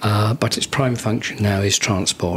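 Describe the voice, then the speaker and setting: A man with a southern English accent talks at a moderate pace in a fairly low pitch and fairly even intonation, with noticeable background noise behind him. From southern England, Guildford, Surrey. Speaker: charity founder, retired marketing executive. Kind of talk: podcast interview. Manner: hesitant, many ums.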